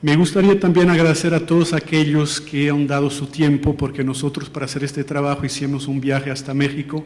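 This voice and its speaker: Over noticeable background noise, a man with a Portuguese accent and a fairly high pitch talks at a moderate pace in a monotone, flat intonation. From Portugal. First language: Portuguese (speaking Spanish). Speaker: international education policy analyst. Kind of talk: formal presentation. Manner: halting, with false starts.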